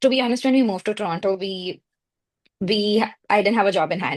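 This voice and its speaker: A woman with an Indian accent at a very fast pace, over a quiet background. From India (Mumbai). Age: 30s. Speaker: marketing and PR professional, immigrant. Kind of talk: podcast interview. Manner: hesitant, many fillers.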